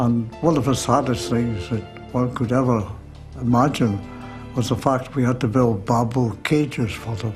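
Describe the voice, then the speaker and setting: A man with a Scottish accent talks while music plays in the background. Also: medium pitch for a man, ordinary pitch variation, moderate pace. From Scottish Highlands. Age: 80s+. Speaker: war veteran. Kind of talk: interview answer.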